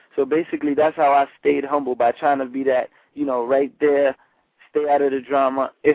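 Monotone, flat intonation marks this voice with a New York accent. The pace is moderate. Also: man. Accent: New York Bronx. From New York, the Bronx. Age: young. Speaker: rapper. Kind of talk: casual interview.

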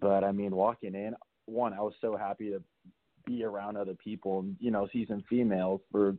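A man's unremarkable speaking voice, fairly low-pitched, at a moderate pace with fairly even intonation. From Southern California (Burbank). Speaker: reality TV contestant. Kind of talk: casual interview chat.

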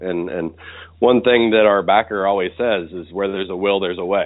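A man with an American accent, fairly low in pitch, and an ordinary speaking voice. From US South, West Virginia. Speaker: obstacle race director. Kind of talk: interview.

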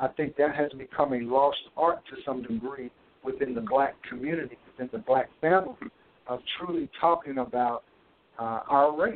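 With a Mississippi accent, a man speaks at a fairly high pitch with ordinary pitch variation. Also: moderate pace. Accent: Southern US (Mississippi). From US South, Natchez, Mississippi. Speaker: school administrator. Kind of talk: radio interview. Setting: phone call.

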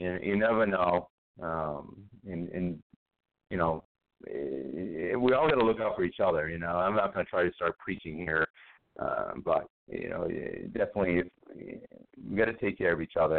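A man talks at a moderate pace with long, frequent pauses, his very deep, low pitch showing ordinary variation. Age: 40s. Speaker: radio host. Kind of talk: casual chat. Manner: halting.

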